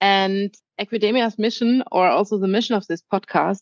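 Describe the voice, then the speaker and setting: With a German accent, the speaker holds a moderate pace. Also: woman. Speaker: podcast host, horse trainer. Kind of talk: casual chat.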